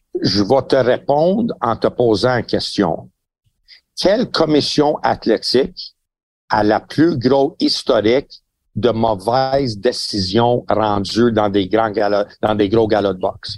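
This man talks at a very slow pace with medium pitch, ordinary pitch variation and very even loudness. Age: 60s. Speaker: boxing trainer and pundit. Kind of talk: casual chat.

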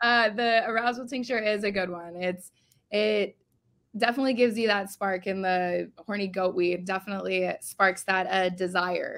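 An ordinary speaking voice from a woman, medium in pitch and fairly even in intonation, at a moderate pace on a very clean recording with a silent background. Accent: American. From New Jersey. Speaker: supplement company employee. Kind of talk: casual chat.

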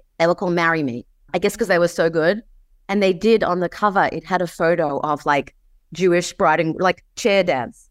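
A woman with an Australian accent and fairly low pitch at a fairly quick pace, on a very clean recording with a silent background. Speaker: magazine art director. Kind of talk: interview.

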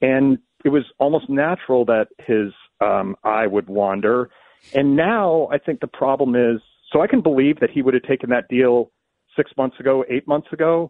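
At a moderate pace, a man speaks in a normal speaking voice of medium pitch, with lively intonation and very even loudness. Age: 50s. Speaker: newspaper sports columnist. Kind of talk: radio interview.

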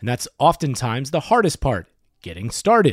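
In a very clean, dry, close recording with a silent background and no echo, a man with a fairly high pitch and vocal fry swings very widely in pitch. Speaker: podcast host. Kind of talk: podcast hosting with an ad read.

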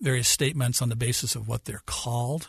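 A man at medium pitch talks at a fairly quick pace, somewhat breathy. The sound is dry and close with no echo over a quiet background. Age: 60s. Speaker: historian. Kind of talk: interview.

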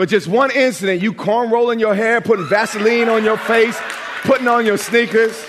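With an American accent, a man speaks in a high, animated voice over noticeable background noise. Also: moderate pace, very even loudness. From New York. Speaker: pastor. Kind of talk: sermon.

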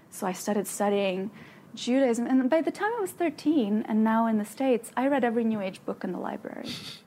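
A woman with a fairly high pitch speaks fairly quickly with ordinary pitch variation, noticeable background noise behind her. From Ukraine. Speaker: spiritual teacher and healer. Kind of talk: casual chat.

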